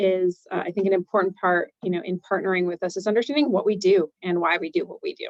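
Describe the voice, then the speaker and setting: A woman with an American accent talks at a fairly quick pace with lively intonation, in a dry, close sound with no echo. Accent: Chicago accent on some words. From Chicago, US Midwest. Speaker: bank executive. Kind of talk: webinar presentation. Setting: online webinar. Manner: many filler ums.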